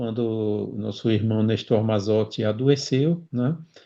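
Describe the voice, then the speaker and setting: A man speaks with fairly even intonation. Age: 60s. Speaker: spiritist speaker. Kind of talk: interview. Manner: halting.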